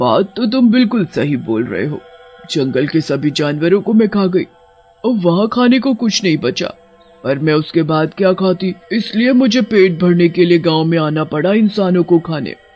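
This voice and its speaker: In a cartoonish character voice, a man speaks at a high pitch and a moderate pace. Faint music plays in the background. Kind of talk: horror cartoon villain. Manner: menacing, cackling.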